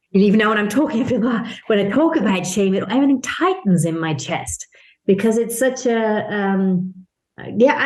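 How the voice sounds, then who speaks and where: A woman's somewhat breathy voice, fairly high in pitch. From Italian-Irish international upbringing. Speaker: business consultant and mentor. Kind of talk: podcast interview.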